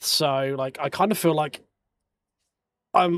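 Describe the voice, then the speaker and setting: This man's voice sits at a fairly high pitch. His pitch varies by an ordinary amount. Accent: strong English. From England. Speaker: sim racing streamer. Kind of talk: casual chat during live sim racing stream. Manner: halting, repeats words.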